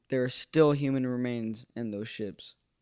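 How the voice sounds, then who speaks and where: A man with an American accent talks at a fairly slow pace, his medium pitch carried by fairly even intonation. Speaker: YouTuber. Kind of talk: tribute video monologue. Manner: halting, many fillers.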